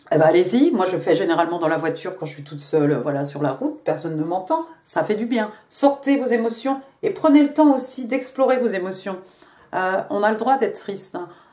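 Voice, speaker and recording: A woman at a medium pitch and fairly quick pace, with very wide pitch swings, big swings in loudness and noticeable background noise. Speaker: tarot reader. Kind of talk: tarot reading. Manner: casual, hesitant with fillers.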